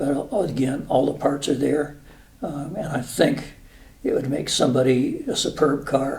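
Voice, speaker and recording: A man's fairly high voice at a fairly slow pace, with fairly even intonation, audible room echo and noticeable background noise. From New Mexico. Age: 70s. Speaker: retired air force officer. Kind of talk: casual interview. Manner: halting, many fillers.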